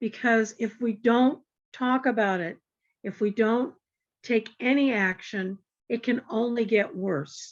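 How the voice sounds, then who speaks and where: A woman's fairly high voice at a very slow pace, with ordinary pitch variation against a quiet background. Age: 70s. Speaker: community discussion participant. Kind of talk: casual group discussion. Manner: halting.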